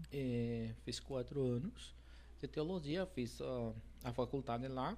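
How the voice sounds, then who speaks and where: The pace stays fairly slow. This speaker talks in a Spanish accent. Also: man. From Mexico. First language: Spanish (speaking Portuguese). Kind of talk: interview. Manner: hesitant, many fillers.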